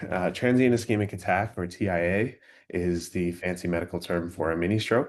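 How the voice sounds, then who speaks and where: Over a quiet background, a man with a very deep, low voice talks at a fairly quick pace. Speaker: graduate student presenter. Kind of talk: academic webinar presentation.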